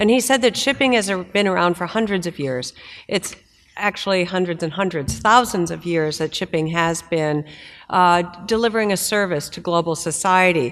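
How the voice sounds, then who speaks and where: Here is an unremarkable speaking voice with an American accent. It moves at a moderate pace with ordinary pitch variation. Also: woman, fairly low pitch for a woman. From United States. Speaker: maritime industry association executive. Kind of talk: conference panel discussion.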